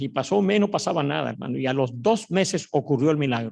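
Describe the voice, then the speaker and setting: A man talks at a very fast pace in a fairly high pitch, with lively intonation and vocal fry. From Mexico, Mexico City. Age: 70s. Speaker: pastor. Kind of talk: sermon.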